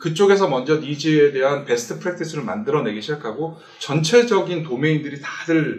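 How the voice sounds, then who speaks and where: Amid noticeable background noise and audible room echo, a man with a fairly high pitch talks at a fairly quick pace with lively intonation. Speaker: tech company presenter. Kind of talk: webinar presentation.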